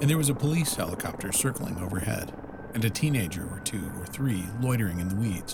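A man's fairly low-pitched voice at a very fast pace with very wide pitch swings over noticeable background noise. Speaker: narrator. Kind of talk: scripted narration.

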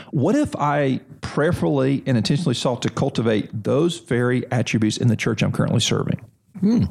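In a normal speaking voice, a man at medium pitch talks at a fairly quick pace with lively intonation and very even loudness. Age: 40s. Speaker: seminary president. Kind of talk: interview conversation. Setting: on a seminary campus.

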